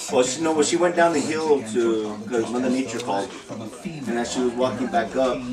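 Clear music plays in the background. Over it, a man speaks with ordinary pitch variation. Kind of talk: casual storytelling. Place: home room. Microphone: camera far.

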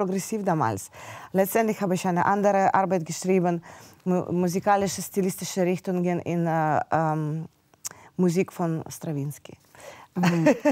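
Over a quiet background, a woman with a dark, mellow tone speaks at a medium pitch and a moderate pace, with ordinary pitch variation. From Ukraine, Kyiv. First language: Russian or Ukrainian (speaking German). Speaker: pianist; interview guest. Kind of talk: interview. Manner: halting. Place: studio. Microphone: lapel.

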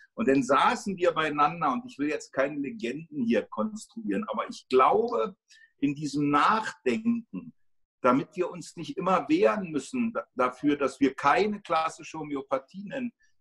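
A man's bright, sharp, high-pitched voice with very wide pitch swings and big swings in loudness. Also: moderate pace, quiet background. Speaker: homeopathy teacher and school co-founder; homeopathy teacher. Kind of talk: interview. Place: home room. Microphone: phone near.

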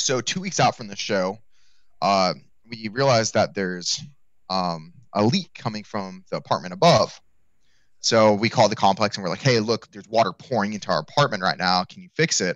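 A man at a fairly low pitch with lively intonation and a fairly quick pace, in a dry sound with no echo and a quiet background. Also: big swings in loudness. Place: home room. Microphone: headset.

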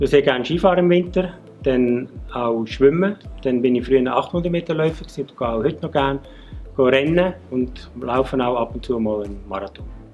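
Faint background music behind a man at a fairly quick pace. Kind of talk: interview answer. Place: factory. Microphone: lapel.

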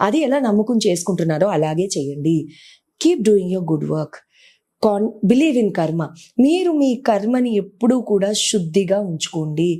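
This woman's dark, mellow tone moves through very wide pitch swings. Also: medium pitch for a woman. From grew up partly outside Telugu states, moved there at 14. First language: not Telugu (speaking Telugu). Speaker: astrologer and numerologist. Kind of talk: interview advice talk.

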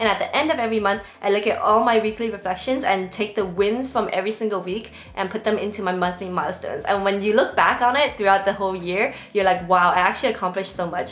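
A woman speaks very fast with fairly even intonation. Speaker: productivity creator. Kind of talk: tutorial. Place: home room.

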